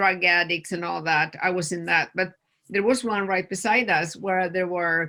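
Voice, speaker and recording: A woman with a Swedish accent speaks at a moderate pace with fairly even intonation, in a very clean recording with a silent background. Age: 60s. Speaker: nurse and food addiction expert. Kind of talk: interview conversation.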